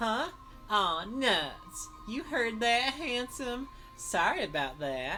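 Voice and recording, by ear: A female-sounding put-on character voice, fairly high in pitch, moves at a very slow pace over clear background noise.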